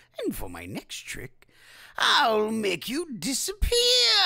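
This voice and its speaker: The speaker uses a put-on character voice pitched fairly high. The delivery is fairly slow. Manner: menacing, playful.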